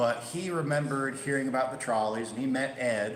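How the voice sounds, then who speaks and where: A man with a Midwestern accent and ordinary pitch variation, amid audible room echo and noticeable background noise. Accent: Midwest. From Chicago, US Midwest. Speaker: railway museum volunteer and streetcar conductor giving a history talk. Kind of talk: presentation with audience Q&A. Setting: presentation room with live audience. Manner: casual, conversational with filler words.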